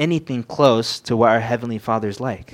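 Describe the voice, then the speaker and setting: A man with an unremarkable speaking voice and an American accent, at a fairly quick pace with fairly even intonation. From Southern California. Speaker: young preacher. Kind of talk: sermon. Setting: church with microphone.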